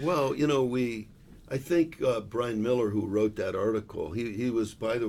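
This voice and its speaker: A man speaks in a plain, everyday voice at a fairly low pitch. His pace is moderate and his pitch variation ordinary. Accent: American. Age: 60s. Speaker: business executive. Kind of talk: casual chat.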